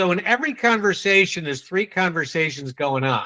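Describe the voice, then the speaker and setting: The voice has a New England accent and a bright, sharp, animated tone. Its intonation is lively and its pace moderate. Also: man. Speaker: sales trainer. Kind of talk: training session.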